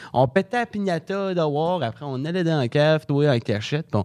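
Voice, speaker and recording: Recorded with a dry, close sound with no echo on a very clean recording with a silent background, a man speaks at a fairly high pitch. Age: young. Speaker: comedy school graduate. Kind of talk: casual interview.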